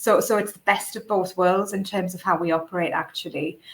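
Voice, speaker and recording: Her pace is fairly quick and her pitch medium. The woman's intonation stays fairly even. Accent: northeast England. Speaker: recruitment company director. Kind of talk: webinar panel discussion. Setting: live online webinar. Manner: hesitant, many fillers.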